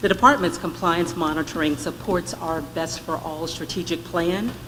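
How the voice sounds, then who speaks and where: Noticeable background noise accompanies speech delivered at a moderate pace. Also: woman. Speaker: state education department director presenting to board. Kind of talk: formal presentation at board meeting. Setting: board meeting workshop, live streamed. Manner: loud; formal.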